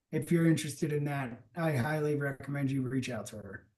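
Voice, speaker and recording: A man's somewhat breathy voice, fairly high in pitch, with ordinary pitch variation and a moderate pace. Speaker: summit host. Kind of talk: live event hosting. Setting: virtual summit livestream. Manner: filler-heavy, hesitant.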